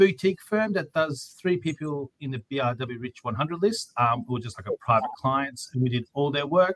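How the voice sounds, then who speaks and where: Lively in intonation, a man with an Australian accent talks at a moderate pace in a bright, sharp tone. The sound is dry and close with no echo. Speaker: lawyer and podcast host. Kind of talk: casual interview chat. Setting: video call.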